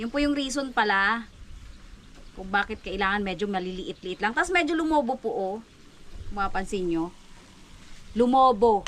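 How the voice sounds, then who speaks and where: Lively intonation at a moderate pace, broken by long, frequent pauses. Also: woman. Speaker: vlogger. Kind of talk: cooking tutorial. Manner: casual, chatty; soft voice.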